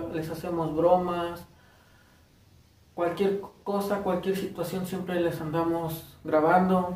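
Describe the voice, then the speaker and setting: With audible room echo, a man talks at a very slow pace in a high, monotone, flat voice. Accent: Mexican. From Morelos, Mexico. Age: 20s. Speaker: first-time vlogger. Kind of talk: casual talk to camera. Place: home room. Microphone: phone near.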